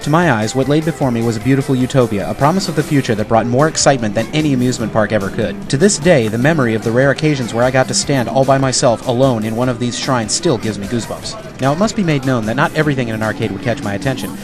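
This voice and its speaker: With music in the background, a man speaks at a very fast pace with hardly any pauses, using medium pitch and ordinary pitch variation. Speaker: voiceover artist. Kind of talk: scripted narration.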